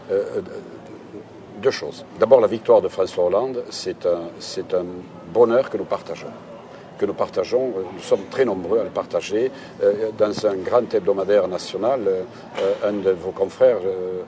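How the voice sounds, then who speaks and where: Over noticeable background noise, a man talks at a fairly slow pace. He leaves long, frequent pauses. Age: 60s. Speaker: local politician, candidate. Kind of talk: political interview. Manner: hesitant, repeating words.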